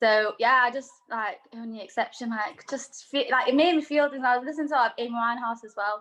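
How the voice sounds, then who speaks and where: This woman's voice sits high, with a bright, sharp tone and big swings in loudness. She talks at a fairly quick pace with hardly any pauses and ordinary pitch variation. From Manchester, northern England. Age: 20s. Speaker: singer-songwriter. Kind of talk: casual interview chat. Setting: video call.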